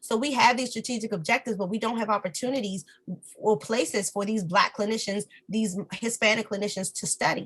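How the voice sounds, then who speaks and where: The pitch moves in an ordinary way. Delivery runs at a fairly quick pace. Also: woman, fairly high pitch for a woman. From Washington DC. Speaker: speech-language pathologist and professor. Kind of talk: interview. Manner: pitch lowers when serious.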